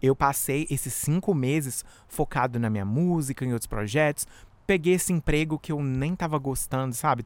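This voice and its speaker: An animated man's voice at a fairly quick pace, with ordinary pitch variation, on a very clean recording with a silent background. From Brazil. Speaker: podcast host and musician. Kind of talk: casual solo monologue. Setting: outdoors in backyard.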